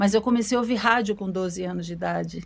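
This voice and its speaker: She is a woman speaking at a medium pitch. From Brazil. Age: 50s. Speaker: singer. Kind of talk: interview. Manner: halting.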